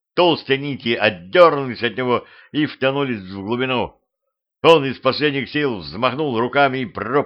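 An unforced reading voice with fairly even intonation, over a quiet background

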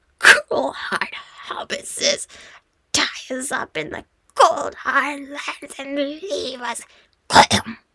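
This put-on character voice is whiny, high-pitched, guttural and raspy. It drags along at a very slow pace. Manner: sobbing, whining.

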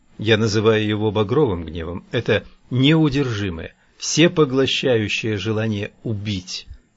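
Ordinary pitch variation in plain reading aloud

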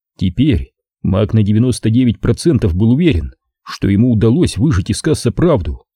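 Intonation here is lively. It is plain reading aloud over a quiet background.

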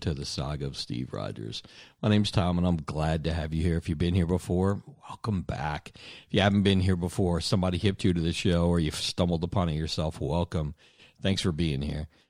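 A man's raspy, put-on character voice, very deep and low in pitch, at a fairly quick pace on a very clean recording with a silent background

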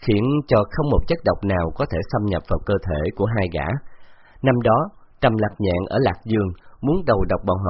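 Lively intonation in an unforced reading voice

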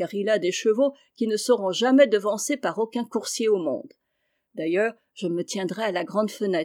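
Ordinary pitch variation in a natural reading voice, with a quiet background

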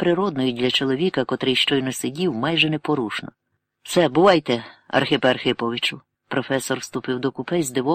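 Here is a natural reading voice with ordinary pitch variation. The background is quiet.

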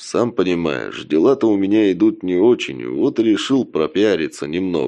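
What you hear is plain reading aloud.

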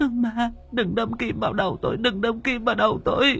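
A man puts on a character voice, pitched extremely high with a fairly bright tone and vocal fry, talking at a fairly quick pace with fairly even intonation.

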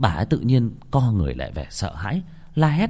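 The reading voice is unforced. Its intonation stays lively.

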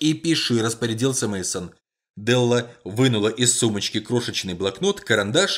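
Against a quiet background, someone uses a natural reading voice.

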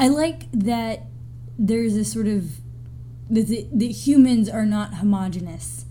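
A woman with an American accent, fairly slow in pace with long, frequent pauses, in audible room echo. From US South. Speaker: podcast co-host. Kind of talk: casual chat.

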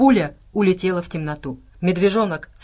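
The pitch moves in an ordinary way. It is reading aloud in a natural voice.

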